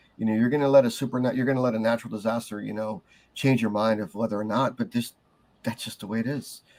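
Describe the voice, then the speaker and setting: A man with an American accent speaks at a very fast pace. His pitch is medium and his intonation fairly even. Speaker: archbishop and military veteran. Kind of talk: casual chat. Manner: stutter; halting.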